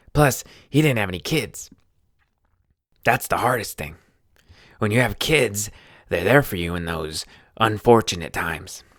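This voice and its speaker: A man's raspy, put-on character voice at medium pitch, with lively intonation and a moderate pace. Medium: read story. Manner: casual, folksy.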